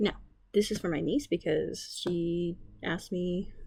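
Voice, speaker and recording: A woman speaks quietly and somewhat breathily with ordinary pitch variation on a very clean recording with a silent background. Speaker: art teacher and artist. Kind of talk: drawing tutorial. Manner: casual, lots of fillers.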